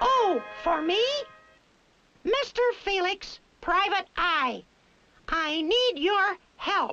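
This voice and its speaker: A squeaky, cartoonish character voice talks at a very slow pace with long, frequent pauses. Music plays in the background. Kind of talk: cartoon character dialogue. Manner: cheerful, chatty.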